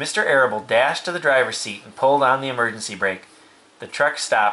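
What you hear is an unforced reading voice.

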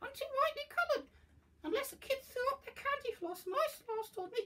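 A man puts on a cartoonish character voice. It is extremely high-pitched and moves at a moderate pace. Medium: puppet. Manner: squawky, cheeky.

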